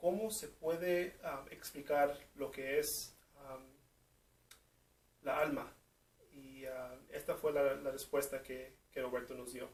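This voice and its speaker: Speaking very slowly with a non-native accent, a man with a fairly high pitch and ordinary pitch variation leaves long, frequent pauses and shows big swings in loudness. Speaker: interviewer of a seminarian. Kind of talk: video narration introducing an interview clip. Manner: halting, many fillers.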